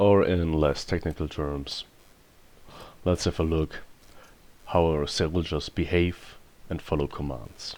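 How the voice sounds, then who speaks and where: Speaking with a non-native accent, the voice moves at a fairly slow pace with long, frequent pauses and monotone, flat intonation. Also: man. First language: not English. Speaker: gaming video creator. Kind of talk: gameplay commentary.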